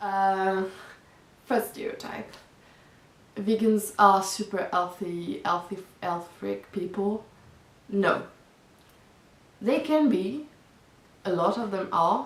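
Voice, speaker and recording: Long, frequent pauses mark this woman's very slow speech. She has a non-native accent and ordinary pitch variation. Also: medium pitch for a woman. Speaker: vegan vlogger. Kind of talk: casual talk to camera.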